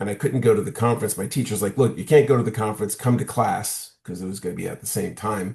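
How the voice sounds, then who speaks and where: Against a quiet background, a man talks in a somewhat breathy voice with ordinary pitch variation. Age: 60s. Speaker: social scientist and workshop trainer. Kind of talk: interview conversation. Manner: halting with repetitions.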